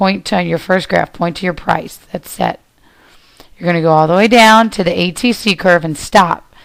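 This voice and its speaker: This woman has an unremarkable speaking voice with a fairly low pitch. Her pace is moderate and her pitch variation ordinary. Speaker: teacher. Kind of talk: lecture.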